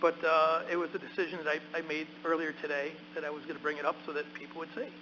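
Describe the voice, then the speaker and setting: Against noticeable background noise, a man with a fairly high voice talks at a very fast pace in a monotone, flat delivery. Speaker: county legislator. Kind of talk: council meeting debate. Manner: loud.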